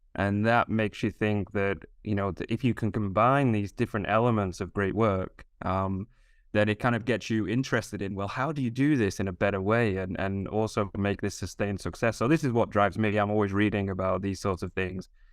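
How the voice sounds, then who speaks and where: A fairly quick voice with fairly even intonation is heard on a very clean recording with a silent background. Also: man, fairly low pitch for a man. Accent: northern English. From northern England. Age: 40s. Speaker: HR professional. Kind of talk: podcast interview. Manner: hesitant, many fillers.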